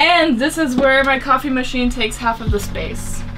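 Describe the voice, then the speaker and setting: Clear music plays behind a woman speaking. Her voice is high, with ordinary pitch variation. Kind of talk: casual vlog chat. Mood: cheerful and playful. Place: boat. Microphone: camera far.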